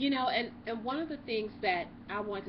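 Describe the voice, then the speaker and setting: A woman speaks with vocal fry at a moderate pace. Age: 40s. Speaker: YouTube co-host. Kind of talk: casual chat.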